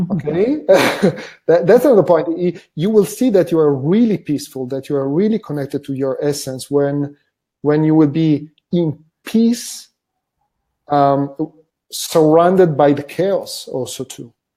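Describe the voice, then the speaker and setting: A man speaks in a fairly high pitch with a non-native accent, using a dark, mellow tone, ordinary pitch variation, a fairly slow pace and long, frequent pauses, on a very clean recording with a silent background. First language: not English. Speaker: wellbeing method facilitator. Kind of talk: interview conversation. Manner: halting with repetitions.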